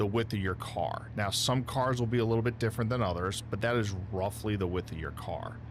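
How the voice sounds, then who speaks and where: A man with a fairly low pitch and ordinary pitch variation shows vocal fry. Audible room echo surrounds his voice. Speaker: sim racing streamer. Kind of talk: live gameplay stream commentary. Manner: loud.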